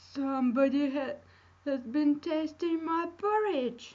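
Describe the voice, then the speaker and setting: A woman puts on a character voice pitched high. She speaks at a fairly slow pace. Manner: growling.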